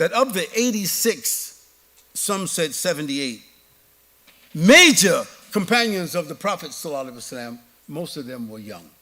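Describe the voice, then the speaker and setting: In a New York accent, a man with a high pitch speaks at a moderate pace, his pitch swinging very widely between long, frequent pauses. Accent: New York American. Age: 70s. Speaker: Islamic preacher. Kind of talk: lecture Q&A.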